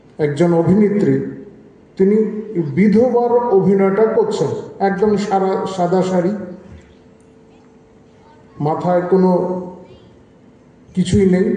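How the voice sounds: A man speaks slowly at a high pitch, with long, frequent pauses and ordinary pitch variation. His tone is dark and mellow, and strong room echo fills the recording.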